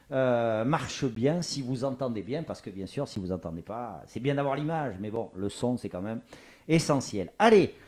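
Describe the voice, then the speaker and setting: Lively intonation from a man at a medium pitch, in a very clean recording with a silent background. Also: moderate pace. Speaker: talk show host. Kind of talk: live talk show interview. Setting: home studio livestream. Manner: loud.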